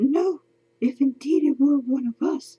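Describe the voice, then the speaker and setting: A woman speaks at a moderate pace in a put-on character voice pitched high. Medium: read story. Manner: formal, measured, guarded.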